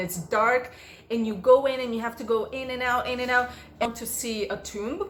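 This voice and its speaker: A woman with a Portuguese accent speaks at a fairly high pitch in an animated tone. Audible room echo surrounds her voice. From Brazil. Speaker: vlogger. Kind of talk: casual Q&A vlog.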